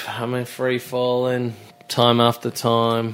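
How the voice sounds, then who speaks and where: There is noticeable background noise while a man talks at a very slow pace with a medium pitch. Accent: Australian. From Australia, Melbourne. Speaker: songwriter. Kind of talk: casual chat.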